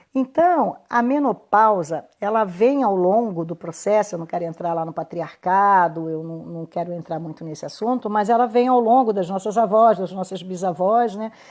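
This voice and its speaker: A woman at a medium pitch and moderate pace, with ordinary pitch variation, big swings in loudness and hardly any pauses, over a quiet background. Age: 60s. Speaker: women's health therapist. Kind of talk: live stream talk. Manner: halting.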